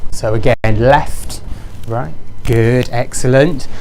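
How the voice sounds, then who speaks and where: A man talks with lively intonation in a room with audible echo and noticeable background noise. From Wales. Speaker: professional body engagement lead for pharmacists. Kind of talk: interactive presentation to an audience. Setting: stage with live audience. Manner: fast; animated.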